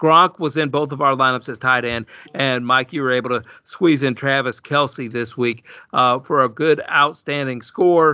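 A man speaks with a Southern US accent. His pitch is medium and his pace moderate. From Alabama. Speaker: podcast host. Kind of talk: casual chat. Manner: energetic, chatty.

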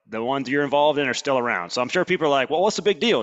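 With an American accent, a man speaks at a fairly high pitch with lively intonation. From Alabama. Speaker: podcast host. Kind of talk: casual interview. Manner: fast; animated.

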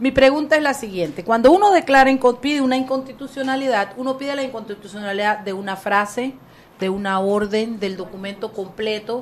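A woman's fairly high voice, fairly quick pace and ordinary pitch variation over noticeable background noise. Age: 50s. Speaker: radio host. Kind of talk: casual chat; interview.

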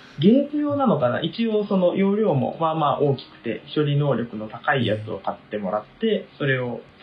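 Against noticeable background noise, a man with a fairly high pitch speaks at a fairly quick pace with very wide pitch swings. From Tokyo. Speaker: university student. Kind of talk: casual chat.

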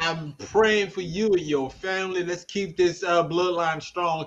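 Speaking at a moderate pace, a man has a high pitch. His pitch variation is ordinary. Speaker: podcast host. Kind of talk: casual chat. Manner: animated.

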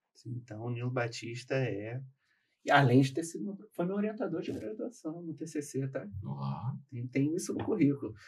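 Speaking at a moderate pace, a man uses lively intonation in a medium pitch that sounds somewhat breathy. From Rio de Janeiro. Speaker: lawyer. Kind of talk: casual chat.

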